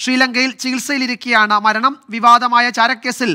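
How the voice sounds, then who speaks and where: The voice is raised and projected, with a bright, sharp tone and fairly even intonation. The recording is very clean, with a silent background. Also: man. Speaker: news anchor. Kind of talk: news reading; live news interview.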